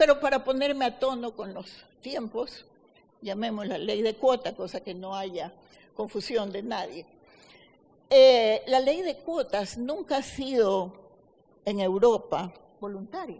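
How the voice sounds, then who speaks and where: A woman's fairly high voice at a very slow pace, with lively intonation, long, frequent pauses and big swings in loudness. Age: 70s. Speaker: lawyer. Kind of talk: debate. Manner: formal.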